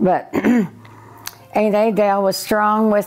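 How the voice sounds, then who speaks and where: Over music in the background, a woman with an American accent speaks at a fairly slow pace. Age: 80s+. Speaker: elderly local resident sharing family history. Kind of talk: oral history reminiscence. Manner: halting, many fillers.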